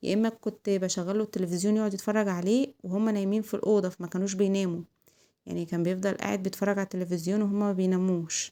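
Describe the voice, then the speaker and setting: A woman with an Egyptian accent talks at a very fast pace, with a medium pitch and a dark, mellow tone, on a very clean recording with a silent background. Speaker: home vlogger, mother. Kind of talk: casual vlog chat. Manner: loud; animated.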